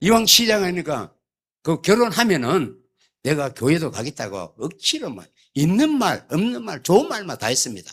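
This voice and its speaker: At a moderate pace, a man with a high-pitched voice speaks, his pitch swinging very widely. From South Korea, Gyeongsangbuk-do (Yeongcheon). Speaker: church elder. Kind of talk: sermon. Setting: church. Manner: humorous storytelling.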